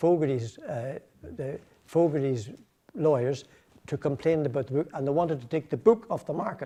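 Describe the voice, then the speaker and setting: A man speaks at a moderate pace with lively intonation. His fairly high voice is somewhat breathy, with a dark, mellow tone. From Northern Ireland, County Tyrone. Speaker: political activist. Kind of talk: public speech. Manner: halting, many repetitions.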